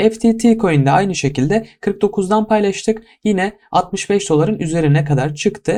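Over a silent background in a very clean recording, a man talks with lively intonation. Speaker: crypto YouTuber. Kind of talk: market analysis tutorial. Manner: casual, many filler hesitations.

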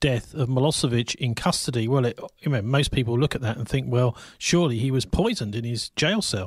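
A somewhat breathy voice speaks at a fairly quick pace on a very clean recording with a silent background. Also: man. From England. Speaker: community radio host and journalist. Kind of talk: interview. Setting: radio studio.

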